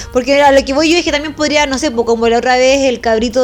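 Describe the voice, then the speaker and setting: A woman speaks in a Chilean accent. Noticeable background noise can be heard. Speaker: podcast co-host. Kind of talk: casual chat.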